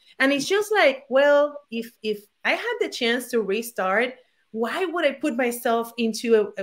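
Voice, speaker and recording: In a Puerto Rican accent, a woman talks at a fairly slow pace with a high-pitched voice. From Puerto Rico. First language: Spanish. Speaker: former attorney turned digital entrepreneur. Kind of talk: interview. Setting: at home, video call.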